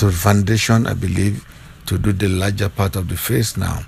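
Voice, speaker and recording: A man with a Nigerian accent talks at a fairly low pitch with fairly even intonation over noticeable background noise. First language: Yoruba. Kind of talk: playful voiceover commentary on makeup video.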